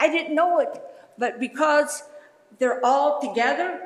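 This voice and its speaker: Speaking fairly slowly with an American accent, a woman uses a high pitch with ordinary variation while noticeable background noise runs underneath. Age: 70s. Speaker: resident speaking at public comment. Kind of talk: public comment at a township meeting. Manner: animated.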